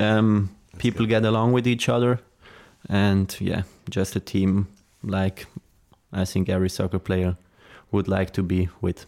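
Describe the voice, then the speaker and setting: A man with a Swiss German accent talks at a fairly slow pace in a fairly low pitch, his intonation fairly even and his pauses long and frequent. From Switzerland, Zurich area. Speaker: professional footballer. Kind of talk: interview.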